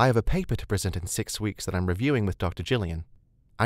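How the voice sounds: The speaker reads in a natural reading voice, the intonation lively throughout.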